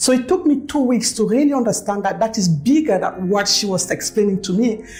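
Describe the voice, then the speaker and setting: Over music in the background, a woman with a medium-pitched voice speaks at a very fast pace with lively intonation. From Cameroon. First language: French. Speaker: network marketing leader. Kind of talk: testimony.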